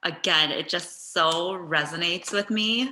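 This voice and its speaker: An unremarkable speaking voice from a woman, fairly low in pitch, with ordinary pitch variation. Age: 30s. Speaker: podcast co-host. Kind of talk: casual interview conversation.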